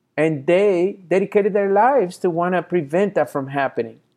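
Against a quiet background, a man speaks at a moderate pace and a high pitch. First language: not English. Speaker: motivational speaker. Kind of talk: motivational talk.

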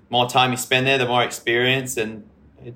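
A man talks with an Australian accent at a moderate pace. His tone is bright and sharp. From Western Australia. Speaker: professional surfer. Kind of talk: casual interview.

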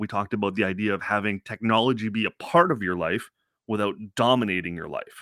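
In a very clean recording with a silent background, a man speaks with a bright, sharp tone and ordinary pitch variation, the sound dry and close with no echo. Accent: Ontario. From Canada, Scarborough (Toronto). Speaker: parenting and pop culture podcaster. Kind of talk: casual interview chat.

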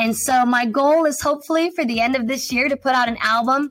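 Over music in the background, a woman with a Chicago accent talks at a high pitch. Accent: Chicago-area American. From US Midwest, north of Chicago. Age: 20s. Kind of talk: radio interview testimony.

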